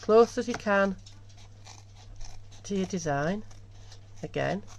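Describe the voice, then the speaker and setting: A woman speaks in a Yorkshire accent. Her pace is very slow. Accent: broad Yorkshire. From Yorkshire, northern England. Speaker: embroidery tutor. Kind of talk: tutorial. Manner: casual, chatty.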